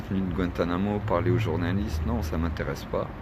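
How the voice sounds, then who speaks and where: Over noticeable background noise and audible room echo, a man talks at a very fast pace with fairly even intonation. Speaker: activist vlogger. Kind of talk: livestream monologue. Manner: casual.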